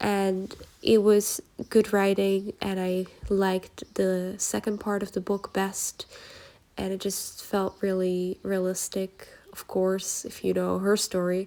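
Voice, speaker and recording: At a very slow pace, a woman with a Dutch accent talks in a dark, mellow tone with monotone, flat intonation. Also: medium pitch for a woman. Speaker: journaling YouTuber. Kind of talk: casual vlog book review. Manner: casual, filler-heavy.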